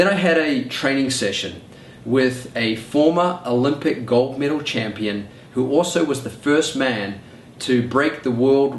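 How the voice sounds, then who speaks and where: A man with a New Zealand accent varies his pitch in an ordinary way. Noticeable background noise and audible room echo surround him. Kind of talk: personal story monologue.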